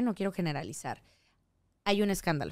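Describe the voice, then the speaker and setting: In a very clean recording with a silent background and a dry, close sound free of echo, a woman talks fairly quickly in an animated tone. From Yucatán, Mexico (Mérida). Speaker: singer, actress and voice actress. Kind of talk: casual chat.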